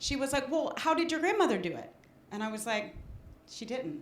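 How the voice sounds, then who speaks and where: A woman's voice makes very wide pitch swings. Audible room echo surrounds it. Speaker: audience member. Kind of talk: audience share at a talk. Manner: halting, many fillers.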